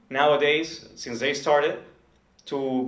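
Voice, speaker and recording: A man at a moderate pace, with audible room echo. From Nicaragua. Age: 20s. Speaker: entrepreneur. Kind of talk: presentation. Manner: halting.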